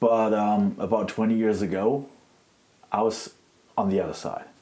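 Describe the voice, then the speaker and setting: With a German accent, a man talks at a fairly low pitch over noticeable background noise. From Germany. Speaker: activist. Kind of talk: interview.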